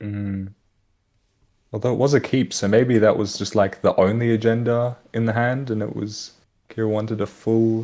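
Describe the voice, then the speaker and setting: With an Australian accent, a man speaks at a moderate pace in a dark, mellow tone and monotone, flat intonation. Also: medium pitch for a man. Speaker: esports commentator. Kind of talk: live commentary. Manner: casual.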